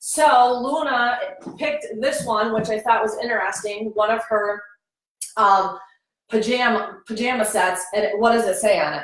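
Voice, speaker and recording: A woman with a fairly high pitch and ordinary pitch variation speaks amid audible room echo. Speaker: online business coach. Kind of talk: live stream tutorial. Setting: at home.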